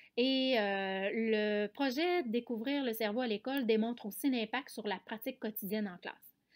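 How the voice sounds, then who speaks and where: The woman talks at a fairly slow pace with hardly any pauses and ordinary pitch variation. It is a very clean recording with a silent background. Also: fairly high pitch for a woman. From Quebec, Canada. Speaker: special education teacher and researcher. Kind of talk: conference presentation. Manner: hesitant, frequent filler sounds.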